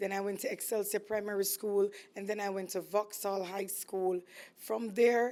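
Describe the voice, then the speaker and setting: On a very clean recording with a silent background, a woman speaks in a Jamaican accent at a moderate pace. Her medium-pitched voice is dark and mellow, with flat, monotone intonation. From Jamaica, East Kingston. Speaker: entrepreneur, food business owner. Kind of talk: casual interview chat.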